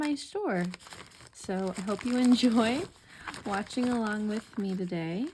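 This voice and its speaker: A soft-spoken woman talks in a calm, soothing tone at a fairly high pitch. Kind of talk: ASMR-style casual talk to camera, sorting and showing items. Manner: soft, calm, soothing.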